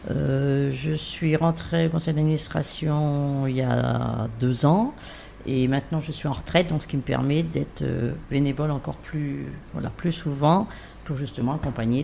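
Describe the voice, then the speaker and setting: Noticeable background noise runs through the clip. A woman talks at a fairly slow pace. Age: 60s. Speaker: cancer patient volunteer, retiree. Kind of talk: round-table interview. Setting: studio round table.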